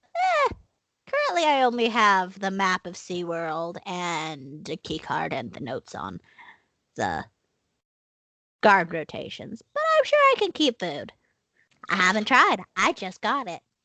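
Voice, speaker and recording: A woman puts on a character voice at medium pitch. She speaks at a fairly slow pace with long, frequent pauses. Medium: actual play. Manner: earnest, openly emotional.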